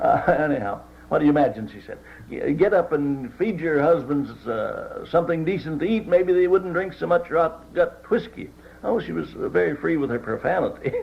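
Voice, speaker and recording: This man speaks at a moderate pace in a high pitch with lively intonation. Noticeable background noise can be heard behind him. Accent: American. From West Virginia. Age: 70s. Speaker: retired teacher and war veteran. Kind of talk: oral history interview answer.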